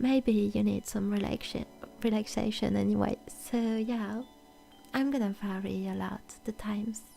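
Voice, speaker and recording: A woman with a French accent speaks at a moderate pace, leaving long, frequent pauses. Music plays in the background. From France. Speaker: VTuber ASMR streamer. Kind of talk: casual chat. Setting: live stream.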